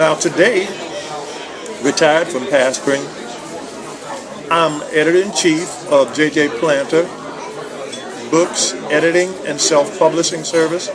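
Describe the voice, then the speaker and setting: Crowd noise and audible room echo surround a man speaking at a fairly slow pace in a fairly high pitch, with fairly even intonation and long, frequent pauses. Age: 60s. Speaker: retired pastor and book editor. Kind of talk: personal video message. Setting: restaurant.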